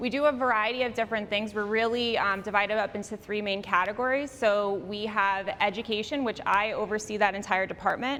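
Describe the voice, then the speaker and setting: Loud and fairly quick, a woman talks with hardly any pauses. Her pitch is fairly high and her tone bright and sharp. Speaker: victim services director. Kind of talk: community presentation. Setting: public meeting in library, with microphone. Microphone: clip-on microphone, room echoes.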